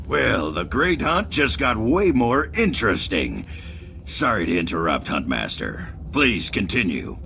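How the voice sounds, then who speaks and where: Over clear background noise, a man does a put-on character voice in a very deep, low pitch at a moderate pace. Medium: video game. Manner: showy, wry.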